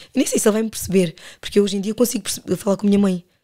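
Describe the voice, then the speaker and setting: The woman's medium-pitched voice has a dark, mellow tone. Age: 30s. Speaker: podcast guest. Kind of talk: casual chat.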